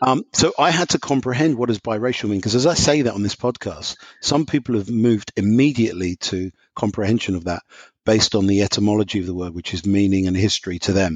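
Here a man talks at a very fast pace in an English accent. His pitch sits fairly low, and his intonation is lively. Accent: English, non-American. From London, England. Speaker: professor. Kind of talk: casual chat.

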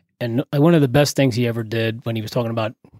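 A man with a New Jersey accent talks at a very fast pace. The sound is dry and close with no echo, on a very clean recording with a silent background. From New Jersey (Carteret), Puerto Rican family. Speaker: retired police SWAT leader and tactical trainer. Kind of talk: casual interview chat. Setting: studio.

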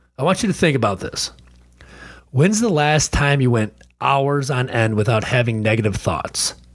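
The recording is very clean with a silent background as a man speaks at a moderate pace with lively intonation. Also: medium pitch for a man. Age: 40s. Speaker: podcast host, fasting coach. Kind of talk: solo podcast monologue. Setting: home recording. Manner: casual, animated.

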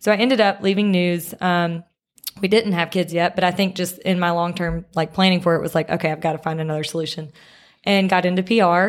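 A woman with a Mississippi accent, fairly low in pitch, fairly quick, with fairly even intonation. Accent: US Southern (Mississippi). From Mississippi (Picayune, near the Gulf Coast). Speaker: media company founder and CEO. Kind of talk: casual interview chat. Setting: studio.

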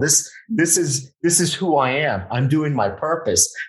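Here a man speaks with an American accent. His voice is somewhat breathy, with ordinary pitch variation. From Miami, Florida (Westchester), Colombian family. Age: 40s. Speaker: podcast host. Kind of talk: casual interview chat. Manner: halting, repetitive stammering.

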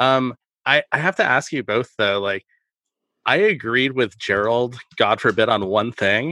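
The speaker talks at a fairly slow pace with ordinary pitch variation. It is an unremarkable speaking voice. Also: man, medium pitch for a man. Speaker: podcast co-host. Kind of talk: casual film discussion podcast.

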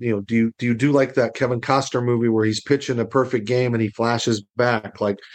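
A man's medium-pitched voice with an American accent, monotone and flat, against a quiet background. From Arizona, US. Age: 50s. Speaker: motivational speaker and former athlete. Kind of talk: casual interview.

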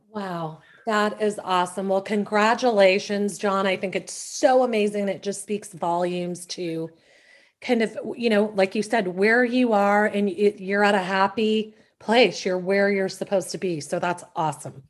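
Her tone is warm and enthusiastic. The woman keeps a moderate pace and a medium pitch. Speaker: podcast host. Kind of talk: casual interview chat. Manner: warm, enthusiastic.

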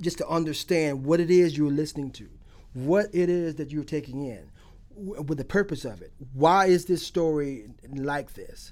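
A man with an American accent and a fairly high pitch talks at a fairly slow pace in an ordinary speaking voice with ordinary pitch variation. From Alachua County, Florida. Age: 50s. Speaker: poet. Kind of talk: interview.

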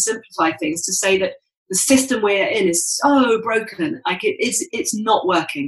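A woman is speaking. She has a British accent. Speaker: sustainable fashion activist. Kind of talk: casual interview conversation.

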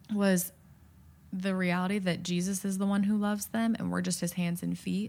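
The voice is somewhat breathy, in a very clean recording with a silent background. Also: woman. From US Midwest. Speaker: middle school advisor, former missionary. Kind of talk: interview.

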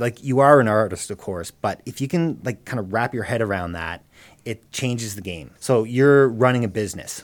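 A man's unremarkable speaking voice at a fairly quick pace, with ordinary pitch variation. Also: very clean recording, silent background. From Cape Breton, Nova Scotia, Canada. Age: 30s. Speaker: musician and small business owner. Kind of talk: casual interview. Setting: studio.

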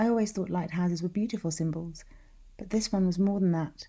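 A woman's somewhat breathy voice at medium pitch, in a dramatic, calm tone. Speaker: podcast host and writer. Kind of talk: literary audiobook reading.

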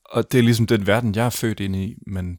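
In a Danish accent, a man speaks at a very fast pace with fairly even intonation, the sound dry and close with no echo in a very clean recording with a silent background. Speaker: podcast host and interviewer. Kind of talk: narration and interview.

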